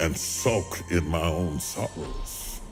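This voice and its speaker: Over music in the background, a man with an American accent speaks at a very deep, low pitch. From West Virginia, USA. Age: 60s. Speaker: preacher. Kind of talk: speech to an audience, personal testimony.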